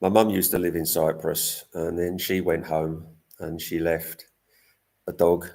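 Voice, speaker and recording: A man speaks with an English accent at a very deep, low pitch. The recording is very clean, with a silent background. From England. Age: 60s. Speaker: cat rescuer and vlogger. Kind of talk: live stream chat. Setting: live stream.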